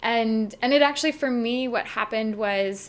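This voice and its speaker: An unremarkable speaking voice, a woman's with a Canadian accent, fairly high in pitch with ordinary pitch variation. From Canada, Saskatchewan. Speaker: travel blogger. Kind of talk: casual chat.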